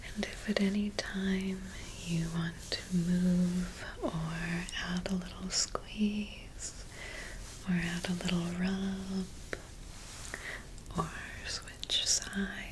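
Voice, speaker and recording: Soft-spoken and calm in tone, the speaker goes at a very slow pace with long, frequent pauses over noticeable background noise. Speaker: licensed mental health therapist, ASMR guide. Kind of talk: guided somatic grounding exercise, ASMR. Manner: soft-spoken, calm, slow.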